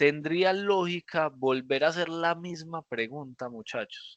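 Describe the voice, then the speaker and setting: The quiet recording is dry and close, with no echo. A man speaks at a fairly high pitch with ordinary pitch variation. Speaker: programming teacher. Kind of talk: lecture. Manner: animated.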